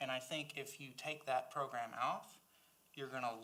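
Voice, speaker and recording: A man speaks with a strong Southern US accent at a moderate pace. His pitch is fairly high, his tone bright and sharp, and his intonation fairly even. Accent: Southern US accent, strong and lasting. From South Carolina. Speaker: library board member, former teacher. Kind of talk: board meeting discussion. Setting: public board meeting.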